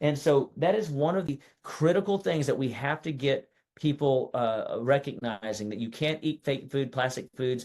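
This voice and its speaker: Ordinary pitch variation moves around a medium pitch in this man's voice. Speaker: natural health doctor. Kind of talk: webinar presentation. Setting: online webinar. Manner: fast; animated.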